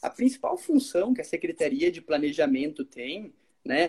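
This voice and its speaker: A man speaks at a fairly slow pace. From southern Brazil, Caxias do Sul. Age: 20s. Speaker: city planning official, civil engineer. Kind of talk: podcast interview.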